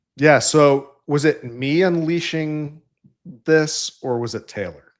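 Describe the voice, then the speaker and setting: A man speaks with a slight Central New York accent. The recording is very clean with a silent background. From upstate New York. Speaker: engineering leader in tech. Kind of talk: casual interview chat.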